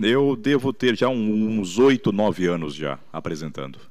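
A man speaks fairly slowly against a quiet background. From Brazil, São Paulo state (Santo André); São Paulo state, Brazil. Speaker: radio announcer and rodeo emcee; radio announcer, rodeo emcee. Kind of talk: interview. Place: studio. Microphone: handheld.

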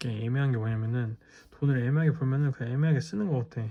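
The voice has a dark, mellow tone, somewhat breathy, with ordinary pitch variation. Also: man. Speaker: ASMR creator. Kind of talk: ASMR talk to camera before sleep. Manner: soft-spoken, casual, rambling.

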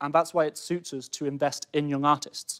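With a quiet background, a man in a northern English accent speaks at a fairly high pitch in monotone, flat intonation. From Cheshire, England; England. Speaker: student entrepreneur. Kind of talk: sales pitch. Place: studio. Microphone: lapel.

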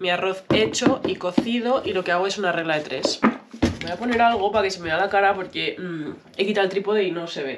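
Loud noise runs through the background as a woman talks fairly quickly. Her pitch moves in an ordinary way. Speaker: vlogger. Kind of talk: casual vlog chat. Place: kitchen. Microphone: phone near.

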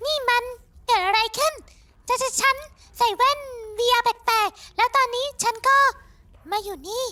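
A cartoonish character voice. Its pitch is extremely high. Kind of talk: solo fan dub of animated series, all characters. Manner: panicked.

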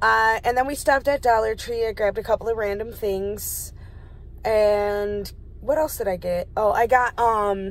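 A woman talks at a moderate pace with fairly even intonation. The sound is dry, with no echo. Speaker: vlogger. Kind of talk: casual vlog chat. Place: car.

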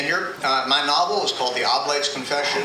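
A man speaks over noticeable background noise. The room adds an audible echo. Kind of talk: book talk to live audience. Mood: warm, measured. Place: cafe.

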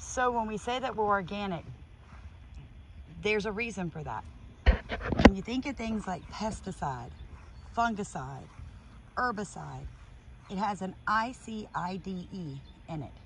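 The speech moves at a fairly slow pace with long, frequent pauses. Noticeable background noise runs under a dry sound with no echo. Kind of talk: casual explanatory vlog chat. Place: garden. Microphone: phone near.

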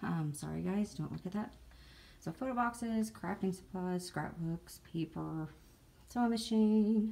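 A woman with a dark, mellow tone and a somewhat breathy quality talks at a moderate pace. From Southern United States. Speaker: jigsaw puzzle hobbyist. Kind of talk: casual talk to camera. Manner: rambling. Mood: friendly, slightly apologetic. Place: home room. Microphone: phone near.

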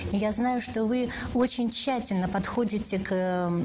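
A woman's voice with ordinary pitch variation amid noticeable background noise. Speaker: radio host. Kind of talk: live call-in interview. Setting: studio.

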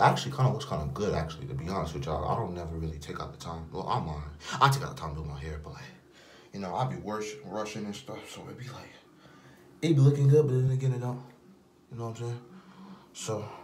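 Speaking very fast, a man uses a fairly low pitch with very wide pitch swings and big swings in loudness. Light background noise can be heard. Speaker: vlogger. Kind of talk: casual vlog chat. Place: bathroom. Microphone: phone near.

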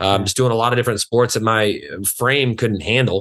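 Against a quiet background, a man with an American accent speaks at a moderate pace with fairly even intonation. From West Texas (Lubbock area); Texas. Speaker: fitness trainer; podcast guest, fitness instructor. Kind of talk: casual interview chat. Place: home room. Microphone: video call.

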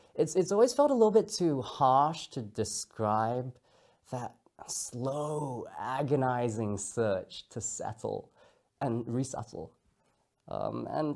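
Confident and lively in intonation, a man speaks with a dark, mellow tone against a quiet background. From Singapore. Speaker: speaker giving a talk. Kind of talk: talk delivered to camera. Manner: trained, confident public speaker. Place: studio.

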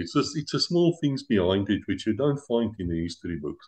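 The man has an ordinary speaking voice. His intonation is lively and his pace fairly quick. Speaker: interview show host. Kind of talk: interview.

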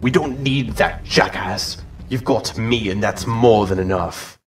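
A man's medium-pitched voice, ordinary pitch variation, fairly slow pace. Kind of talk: comic parody voice acting. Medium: comedy sketch.

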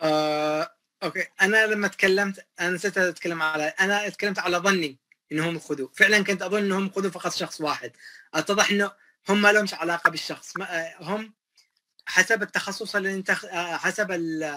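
Against a quiet background, a man uses a raised, projected voice with a high pitch and a bright, sharp tone at a moderate pace. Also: fairly even intonation. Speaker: electrical systems engineer; guest. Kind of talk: interview.

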